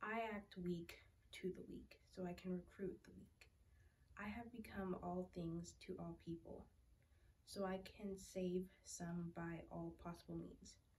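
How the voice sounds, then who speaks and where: A fairly slow-paced woman's voice. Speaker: scripture reader. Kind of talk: scripture reading. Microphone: phone near.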